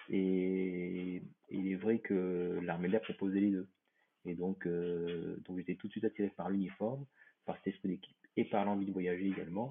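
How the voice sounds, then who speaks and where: His intonation stays monotone and flat. The man's very deep, low voice moves along at a moderate pace. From Réunion. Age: 50s. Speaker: airline pilot. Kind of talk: interview.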